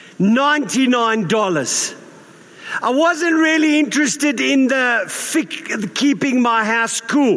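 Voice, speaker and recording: Against noticeable background noise, a man speaks at a very slow pace with lively intonation. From South Africa. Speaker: pastor. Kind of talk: sermon. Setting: church. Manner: informal, humorous.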